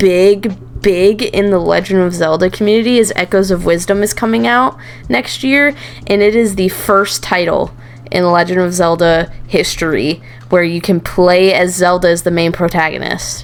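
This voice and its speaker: Noticeable background noise sits behind a woman speaking at a medium pitch and a moderate pace. Her loudness holds very even, with ordinary pitch variation. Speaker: VTuber and podcast co-host. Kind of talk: casual chat. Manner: animated.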